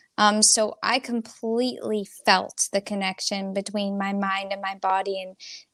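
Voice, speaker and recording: With an American accent and an ordinary speaking voice, a woman talks at a moderate pace with fairly even intonation and hardly any pauses, in a dry, close sound with no echo. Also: medium pitch for a woman. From New Jersey. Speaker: singer-songwriter. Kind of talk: interview.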